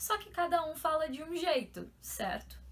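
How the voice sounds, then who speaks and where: A woman's bright, sharp tone comes through at a fairly slow pace. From São Paulo, Brazil.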